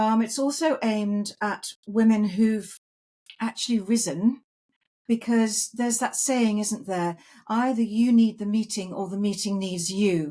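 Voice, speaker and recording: This woman's voice sits fairly high, with ordinary pitch variation, a dark, mellow tone, a somewhat breathy quality, and a fairly slow pace. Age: 60s. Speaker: podcast host. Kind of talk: casual chat. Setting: video podcast.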